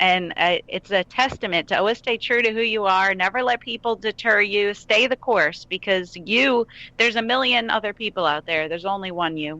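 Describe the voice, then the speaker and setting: Speaking in a New York accent, a woman has a bright, sharp tone at a medium pitch with ordinary pitch variation. She keeps a moderate pace with hardly any pauses, and the sound is dry and close with no echo. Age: 30s. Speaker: country singer-songwriter. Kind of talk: interview.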